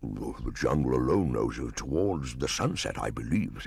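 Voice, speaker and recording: The speaker uses a put-on character voice and keeps a moderate pace. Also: man, very deep, low pitch for a man. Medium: read story. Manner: warm, earnest, slightly fussy.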